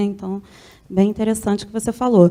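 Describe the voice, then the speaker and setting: Fairly high in pitch, a woman's voice carries a dark, mellow tone and fairly even intonation. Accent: Rio de Janeiro. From Rio de Janeiro, Brazil. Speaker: university professor. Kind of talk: question at a conference debate.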